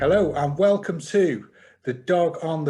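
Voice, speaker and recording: A man's dark, mellow, somewhat breathy voice with ordinary pitch variation against a quiet background. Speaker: podcast host. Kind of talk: podcast interview questions.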